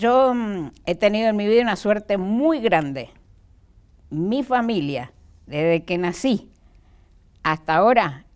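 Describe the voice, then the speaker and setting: Speaking very slowly with long, frequent pauses, a woman makes very wide pitch swings on a very clean recording with a silent background. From Argentina, Mendoza. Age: 70s. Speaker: retired supreme court judge. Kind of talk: interview.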